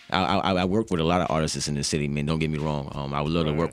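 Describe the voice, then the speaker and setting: Against noticeable background noise, a man with a very deep, low pitch talks at a very fast pace. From Charlottesville, Virginia. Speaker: hip hop artist. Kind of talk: radio interview. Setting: radio studio. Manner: casual, many fillers.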